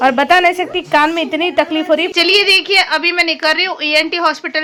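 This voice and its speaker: A woman speaks in a raised, projected voice. Noticeable background noise runs beneath her. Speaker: vlogger. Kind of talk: casual vlog narration.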